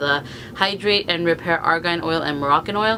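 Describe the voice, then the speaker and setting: Over noticeable background noise, a woman speaks at a fairly low pitch with lively intonation. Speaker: beauty vlogger. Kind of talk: product review vlog. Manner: fast.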